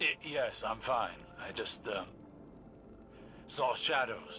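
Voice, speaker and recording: In a put-on character voice, a raspy man talks at a fairly slow pace over clear background noise. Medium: voice reel. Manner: measured, scholarly.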